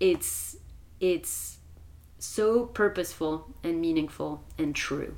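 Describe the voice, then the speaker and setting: A woman with a French accent speaks at a very slow pace. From France. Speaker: wilderness retreat facilitator. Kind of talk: casual chat.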